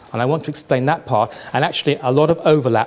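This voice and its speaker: Over noticeable background noise, a man with a British accent talks at a very fast pace with fairly even intonation. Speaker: trend forecaster. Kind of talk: lecture. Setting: stage with audience.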